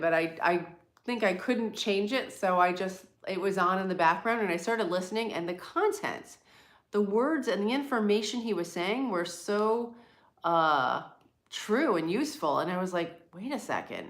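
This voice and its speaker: A woman with an American accent talks at medium pitch and a moderate pace, her intonation lively. Room echo is audible. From US East Coast, near New York City. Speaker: livestream host. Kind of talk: casual live chat. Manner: clear.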